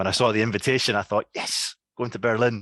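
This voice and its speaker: This man has a strong Scottish accent. The sound is dry and close with no echo, over a quiet background. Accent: thick Scottish. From Scotland. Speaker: academic researcher. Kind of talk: lecture. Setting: video call. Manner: slow, deliberate; hesitant, many fillers.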